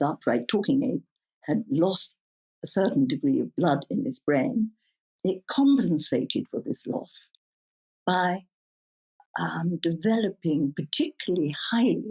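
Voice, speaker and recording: Dry and close with no echo, a woman of medium pitch speaks somewhat breathily in a dark, mellow tone at a fairly slow pace, with very wide pitch swings and long, frequent pauses. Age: 70s. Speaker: psychedelics researcher and foundation founder. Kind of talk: interview answer.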